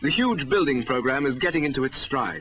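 Moderate pace over light background noise. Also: man. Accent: British. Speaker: documentary narrator. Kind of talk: 1961 school promotional film narration. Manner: formal, measured, earnest newsreel-style delivery. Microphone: old recording.

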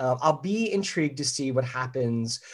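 A normal speaking voice from a man with an American accent, medium pitch and lively intonation, on a very clean recording with a silent background. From US Northeast, Philadelphia. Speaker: leadership consultant and author. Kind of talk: interview.

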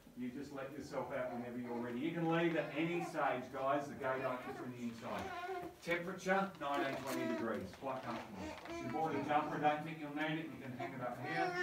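A man talks at a fairly quick pace with ordinary pitch variation, his voice carrying audible room echo over loud background noise. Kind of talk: tour briefing. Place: tunnel cave. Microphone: camera far.

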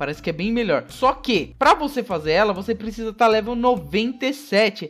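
A high-pitched man talks at a fairly quick pace. His tone is animated and his intonation lively. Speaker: gaming YouTuber. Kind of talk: gameplay commentary. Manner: casual, animated.

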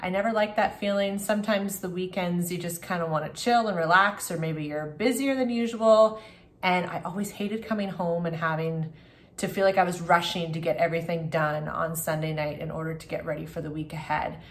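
At a fairly quick pace, a woman speaks in a fairly low pitch with ordinary pitch variation and a somewhat breathy sound. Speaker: family vlogger. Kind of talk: casual vlog chat. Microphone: phone near.

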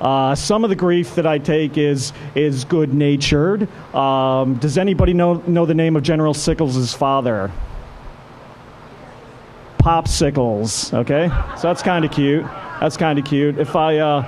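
A man talks at a fairly slow pace with ordinary pitch variation and long, frequent pauses. Light background noise can be heard. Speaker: speaker. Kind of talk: lecture. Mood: relaxed, joking. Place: tent. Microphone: podium.

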